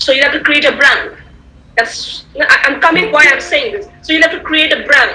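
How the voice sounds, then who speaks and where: A woman's raised, projected voice with lively intonation, audible room echo and noticeable background noise. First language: Tamil. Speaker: guest speaker, communication skills trainer. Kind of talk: online lecture. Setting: video call. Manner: repetitive, halting with fillers.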